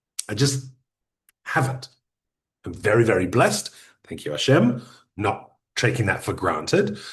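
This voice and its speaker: A man's medium-pitched voice at a moderate pace, with very wide pitch swings, vocal fry, big swings in loudness and long, frequent pauses. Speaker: podcasting expert. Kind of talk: workshop talk.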